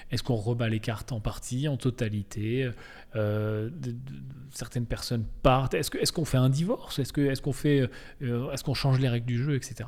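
In a very clean recording with a silent background, a man speaks at a moderate pace with a medium pitch, ordinary pitch variation and a somewhat breathy voice. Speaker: podcast host. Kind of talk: solo podcast monologue. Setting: office. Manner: casual, hesitant with fillers.

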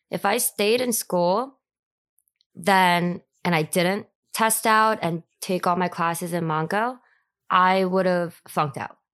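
At a very slow pace with long, frequent pauses, a woman with an American accent speaks at a medium pitch with ordinary pitch variation over a quiet background. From US Northeast. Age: 30s. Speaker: podcast guest, high school alumna. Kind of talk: casual chat, interview. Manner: halting, filler words.

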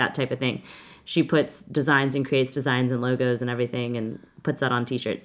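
A woman with a Texan accent talks fairly quickly in a very deep, low voice with monotone, flat intonation. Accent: Texan Southern US. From Texas. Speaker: podcast host and events business founder. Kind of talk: casual chat. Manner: loud.

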